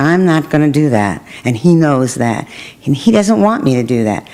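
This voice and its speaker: With a Brooklyn accent, a woman speaks at a very deep, low pitch. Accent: New York (Brooklyn). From Brooklyn, New York. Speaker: politician. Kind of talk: interview.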